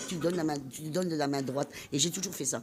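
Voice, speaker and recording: The speech moves at a fairly quick pace with lively intonation. Noticeable background noise is present. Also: woman. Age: 60s. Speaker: amateur singer and volunteer. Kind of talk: interview. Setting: studio.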